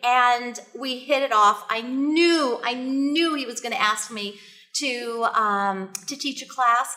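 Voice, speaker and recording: Speaking at a very slow pace, a woman uses a high pitch, a bright, sharp tone and ordinary pitch variation. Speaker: author and business coach. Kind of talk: interview. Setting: studio.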